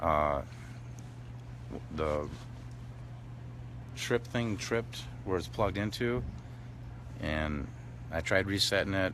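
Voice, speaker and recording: A man's very deep, low voice with vocal fry, very wide pitch swings, a very slow pace, long and frequent pauses, and audible room echo. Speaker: tow truck driver at protest camp. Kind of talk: live stream chat. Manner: mumbling, hesitant.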